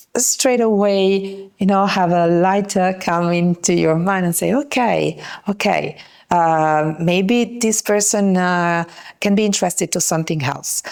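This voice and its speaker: A woman with an Italian accent, medium pitch, ordinary pitch variation and a fairly slow pace. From Italy. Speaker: yachting industry networker. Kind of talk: podcast interview. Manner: hesitant, many fillers.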